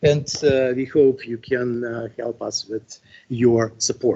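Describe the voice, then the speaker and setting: Speaking in a Russian accent, a man takes a fairly slow pace. His voice is somewhat breathy. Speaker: astronomy professor. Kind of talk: lecture. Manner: halting, many fillers.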